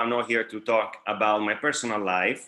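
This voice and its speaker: A man speaks with an Italian accent. His tone is bright and sharp. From Italy, Bari (Puglia). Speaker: dental lecturer, periodontist. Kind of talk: lecture. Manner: halting, many fillers.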